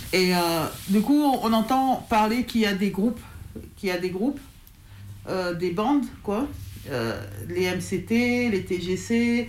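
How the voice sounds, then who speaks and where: Pausing long and often, a woman speaks very slowly at a medium pitch with ordinary pitch variation, with audible room echo. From France, Lyon area. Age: 40s. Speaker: hip-hop crew leader, association president. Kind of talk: interview testimony. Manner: halting, many fillers.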